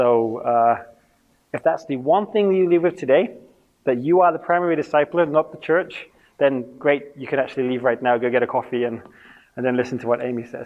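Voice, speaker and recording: With an English accent, a man speaks at a fairly quick pace. His pitch is fairly high, and his intonation is lively. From England. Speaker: youth ministry trainer. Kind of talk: conference talk. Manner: fast when passionate; interactive.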